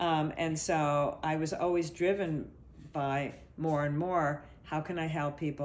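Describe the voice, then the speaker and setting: In a room with audible echo, a woman with a very deep, low pitch speaks at a fairly slow pace in a monotone, flat way. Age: 60s. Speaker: body therapist. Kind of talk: interview. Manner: halting.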